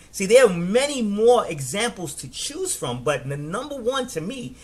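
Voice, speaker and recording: A man talks in a high pitch with very wide pitch swings. Noticeable background noise is present. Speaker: network marketing coach. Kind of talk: live stream business training. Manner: fast; energetic, animated.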